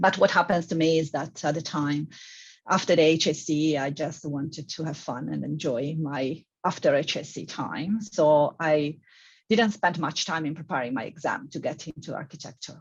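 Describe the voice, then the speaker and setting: With a strong Italian accent, a woman speaks at a moderate pace in a very deep, low pitch that is somewhat breathy, with ordinary pitch variation. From Italy. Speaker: civil engineering professor. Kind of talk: panel discussion.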